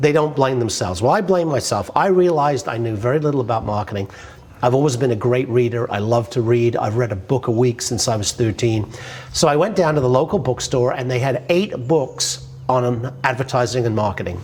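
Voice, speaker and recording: Someone with an English accent talks at a fairly quick pace with ordinary pitch variation, over noticeable background noise. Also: man, medium pitch for a man. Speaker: business author and marketing speaker. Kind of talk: personal story monologue. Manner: casual.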